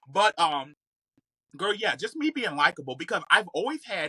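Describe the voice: Moving at a fairly quick pace, the voice sounds bright and sharp with a slightly husky edge and lively intonation, in a dry, close recording with no echo. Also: woman.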